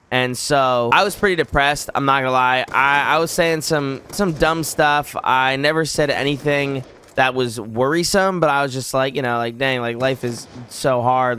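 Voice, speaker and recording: With noticeable background noise behind him, a man speaks at a moderate pace in a medium pitch with ordinary pitch variation. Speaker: YouTuber. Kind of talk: personal storytelling. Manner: casual, halting.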